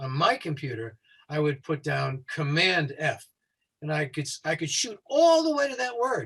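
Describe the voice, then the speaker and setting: This man speaks in a fairly high pitch with an American accent, his voice swinging very widely up and down. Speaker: safety consultant. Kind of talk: tutorial. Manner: fast.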